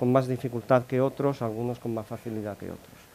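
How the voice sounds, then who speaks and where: Speaking at a fairly quick pace, a man delivers the lines. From Italy. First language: Italian (speaking Spanish). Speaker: corporate sales modelling analyst. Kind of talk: conference talk. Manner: halting, many fillers.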